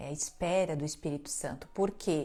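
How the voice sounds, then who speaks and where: Soft-spoken and dark, mellow in tone, the voice holds a fairly even intonation. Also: woman. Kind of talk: religious teaching livestream.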